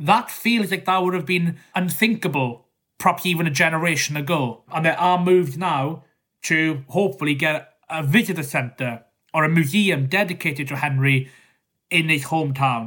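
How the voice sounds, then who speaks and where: With a Welsh accent, a man speaks at a moderate pace, his fairly high pitch moving with ordinary variation and his tone bright and sharp. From South West Wales. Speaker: historian and author. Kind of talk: interview.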